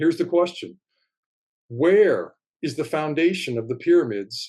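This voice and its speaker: Moderate-paced speech from a man. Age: 60s. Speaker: writer and amateur field researcher of ancient sites. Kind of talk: casual interview conversation. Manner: animated.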